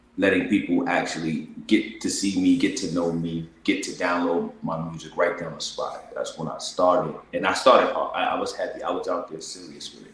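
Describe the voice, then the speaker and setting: A man with an American accent at a moderate pace, hardly any pauses, big swings in loudness and noticeable background noise. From New York City (Bronx). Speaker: singer-songwriter. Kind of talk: interview.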